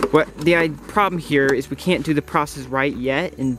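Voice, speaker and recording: Heard with light background noise and a dry sound with no echo, a man speaks with fairly even intonation. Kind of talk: casual vlog chat. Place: open country. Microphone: phone near.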